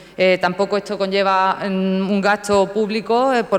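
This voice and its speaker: A woman speaks at medium pitch in a monotone with flat intonation. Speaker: town councillor. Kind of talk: council debate speech. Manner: fast; halting, many fillers.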